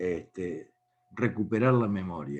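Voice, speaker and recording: A man's dark, mellow voice moves along at a very slow pace. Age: 70s. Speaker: speaker on faith and politics. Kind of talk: talk to an online meeting.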